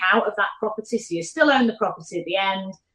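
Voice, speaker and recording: Speaking with a Mancunian accent, a woman shows ordinary pitch variation. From Manchester, northern England. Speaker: property investor and business executive. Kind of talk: podcast interview. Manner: hesitant fillers, frequent you know and repeats.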